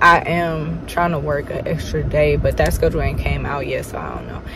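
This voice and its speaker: Noticeable background noise sits behind a woman's voice. The sound is dry with no echo, and her pace is moderate. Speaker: vlogger. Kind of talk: casual vlog chat. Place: car. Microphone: phone near.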